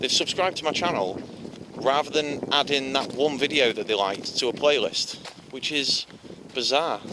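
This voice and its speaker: This man's voice sits fairly high, with ordinary pitch variation. He talks at a moderate pace over noticeable background noise. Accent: Yorkshire. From Yorkshire, northern England. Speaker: vlogger. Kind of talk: casual vlog monologue while walking.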